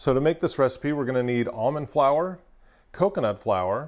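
The speaker is a man. Hardly any sound can be heard behind him. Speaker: presenter. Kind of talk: tutorial. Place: kitchen. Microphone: lapel.

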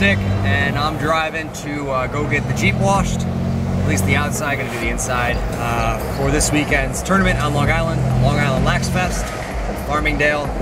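Music plays in the background of this dry, echo-free recording, where the speech moves at a moderate pace. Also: man. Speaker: vlogger driving. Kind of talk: casual vlog chat. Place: car. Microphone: phone near.

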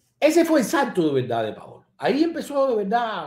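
Over audible room echo, a man speaks in an animated tone at a moderate pace. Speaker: online show host and political commentator; live show host. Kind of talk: live-stream commentary reading viewer comments. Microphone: webcam.

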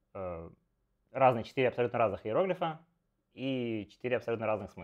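A man talking at a very fast pace against a quiet background. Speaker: Go streamer and teacher; Go streamer, teacher. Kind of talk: live game commentary stream. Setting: live stream with remote co-host. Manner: animated, chatty with many fillers. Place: home room. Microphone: earbuds.

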